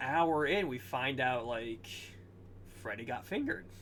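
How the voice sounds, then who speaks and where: Vocal fry runs through a man's bright, sharp-toned voice. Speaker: podcast host. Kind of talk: casual chat. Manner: halting.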